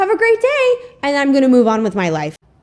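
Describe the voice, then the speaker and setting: A woman with an animated tone at a very fast pace. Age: 20s. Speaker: YouTuber, commentary video essayist. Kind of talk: commentary video essay.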